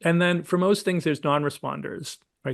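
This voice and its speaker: An ordinary speaking voice from a man, with fairly even intonation at a moderate pace over a quiet background, fills the clip. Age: 60s. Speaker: naturopathic physician and supplement product developer. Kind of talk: interview. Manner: conversational with fillers.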